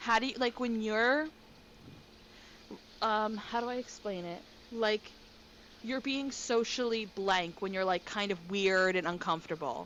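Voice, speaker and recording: With an American accent, a woman speaks at a fairly high pitch with ordinary pitch variation and long, frequent pauses. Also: fairly slow pace. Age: 20s. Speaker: podcast co-host. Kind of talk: casual chat. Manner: animated.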